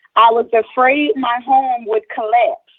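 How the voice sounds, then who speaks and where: Lively intonation in a high female voice. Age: 30s. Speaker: resident testifying at public hearing. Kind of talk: public testimony. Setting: remote video hearing.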